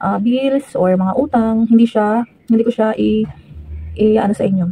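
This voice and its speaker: A soft-spoken, somewhat breathy woman, fairly high in pitch with a dark, mellow tone, fairly even intonation and a moderate pace. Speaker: vlogger, chat moderator. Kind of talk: casual vlog talk. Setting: at home near the gate, outdoors nearby. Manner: hesitant, many fillers.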